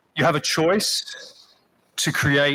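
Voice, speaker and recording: A man's bright, sharp tone with an Australian accent. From Australia, Sydney. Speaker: chief executive, ceremony speaker. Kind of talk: graduation speech. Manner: earnest, with fillers.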